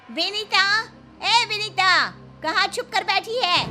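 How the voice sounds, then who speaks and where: Over clear music in the background, a woman shouts in a put-on character voice at an extremely high pitch, very slowly and with fairly even intonation. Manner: shouting.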